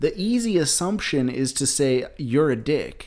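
A man with a Southern accent, fairly high in pitch and very slow in pace, on a very clean recording with a silent background. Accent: sounds Southern. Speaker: podcast co-host. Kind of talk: casual chat.

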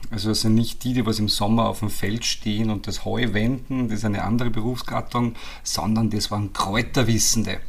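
Audible room echo surrounds a man's medium-pitched voice. He speaks at a fairly quick pace with monotone, flat intonation. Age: 30s. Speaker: trainee naturopath, grandson of a company founder. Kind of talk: interview.

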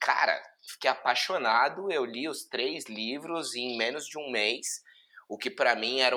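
A man with an unremarkable speaking voice talks at a moderate pace, his pitch moving in an ordinary way. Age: 30s. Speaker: digital marketing executive. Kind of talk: casual chat.

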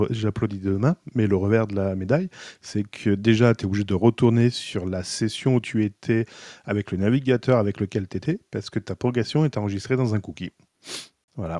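A man's dark, mellow tone sounds dry and close with no echo against a quiet background. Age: 40s. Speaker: podcast co-host. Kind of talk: casual chat.

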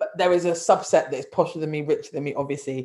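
The speaker talks at a fairly quick pace with a London accent. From London, North London. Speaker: podcast co-host. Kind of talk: casual chat. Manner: animated.

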